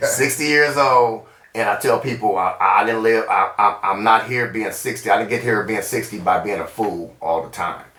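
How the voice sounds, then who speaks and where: Amid noticeable background noise and audible room echo, a man talks with hardly any pauses and ordinary pitch variation. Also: medium pitch for a man, moderate pace. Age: 60s. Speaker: retired correctional officer. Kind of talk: casual chat.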